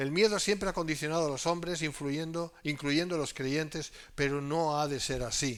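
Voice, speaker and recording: The recording is very clean, with a silent background. Its speaker has an ordinary speaking voice, a moderate pace and ordinary pitch variation. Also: man. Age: 60s. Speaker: pastor. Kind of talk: sermon. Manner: conversational.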